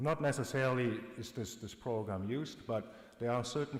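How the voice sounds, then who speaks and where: A man's voice with ordinary pitch movement and audible echo from the room. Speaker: government polar bear biologist. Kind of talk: conference presentation. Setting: conference with translator. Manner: fast; loud.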